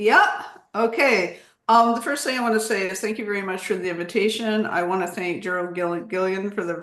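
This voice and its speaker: A woman with an American accent speaks at a moderate pace with ordinary pitch variation, and audible room echo surrounds her voice. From United States. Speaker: history professor, lecturer. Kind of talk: lecture. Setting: Zoom video call.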